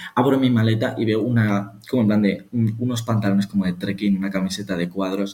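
A man speaks at a fairly quick pace in a fairly low pitch, his tone dark and mellow and his intonation fairly even. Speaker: podcast co-host. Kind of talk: casual chat.

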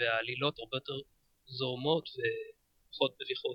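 A man speaks at a moderate pace. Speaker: podcaster and sci-fi fan. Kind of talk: casual chat. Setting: studio.

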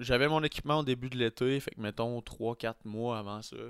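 A man speaks in a normal speaking voice at a medium pitch and a moderate pace. The recording is very clean, with a silent background. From Quebec City. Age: 20s. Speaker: podcaster and vlogger. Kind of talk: casual chat.

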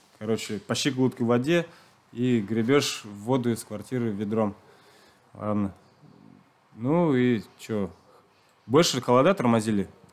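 A man with a medium pitch speaks at a fairly slow pace. He takes long, frequent pauses. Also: ordinary pitch variation. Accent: Chuvash. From Chuvashia, rural village. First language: Chuvash (speaking Russian). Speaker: long-distance runner. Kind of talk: interview. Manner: hesitant, many fillers.

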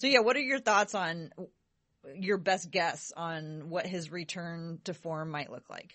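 Using a plain, everyday voice, a woman with a fairly low pitch and lively intonation speaks at a fairly slow pace with big swings in loudness. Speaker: podcast host. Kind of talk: casual chat.

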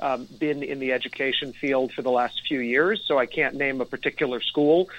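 A man with an American accent uses an ordinary speaking voice, fairly high in pitch, at a moderate pace with fairly even intonation. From New York, Rockland County (Nyack). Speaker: state senate candidate, former teacher. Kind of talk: interview. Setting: phone call.

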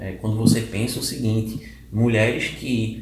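A man is speaking. Audible room echo and noticeable background noise are present. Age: 30s. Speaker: mental health specialist. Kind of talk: casual interview. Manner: halting, many fillers.

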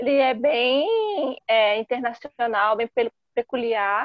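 Her pitch is high, with ordinary pitch variation. The woman speaks at a fairly slow pace. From Brazil, São Paulo area. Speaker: journalist and lawyer. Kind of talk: casual chat.

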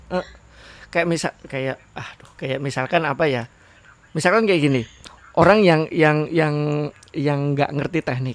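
Speaking at a fairly slow pace, a man uses a fairly high pitch with ordinary pitch variation. He takes long, frequent pauses. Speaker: podcast co-host. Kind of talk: casual chat.

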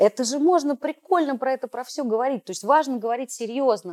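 A woman talks at a fairly quick pace in an unremarkable speaking voice with ordinary pitch variation. The sound is dry and close, with no echo. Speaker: podcast host. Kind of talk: casual interview discussion.

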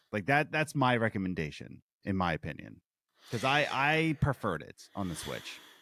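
A man speaks at a moderate pace with a bright, sharp tone and vocal fry, his pitch swinging very widely and his loudness shifting a lot. The recording is very clean, with a silent background. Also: medium pitch for a man. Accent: American. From Philadelphia, US. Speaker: podcast co-host, restaurant worker. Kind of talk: casual chat.

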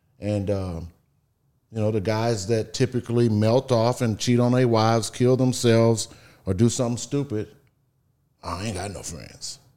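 On a very clean recording with a silent background, a man with a Southeast Texas accent speaks at a medium pitch in a dark, mellow tone, leaving long, frequent pauses. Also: fairly even intonation, moderate pace. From Texas, Beaumont. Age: 50s. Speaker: real estate investor. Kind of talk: casual interview.

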